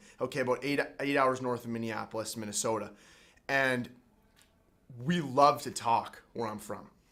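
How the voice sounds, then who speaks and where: A man with a Canadian accent speaks at medium pitch and a moderate pace, his tone animated, bright and sharp. He pauses often and at length. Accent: Canadian, noticeable. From Canada, Winnipeg, Manitoba. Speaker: college hockey player and podcast host. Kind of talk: casual chat.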